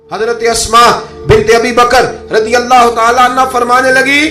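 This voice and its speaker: Over music in the background, a man speaks in a raised, projected voice. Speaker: Islamic preacher. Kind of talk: religious sermon, emotional storytelling. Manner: emotional, passionate.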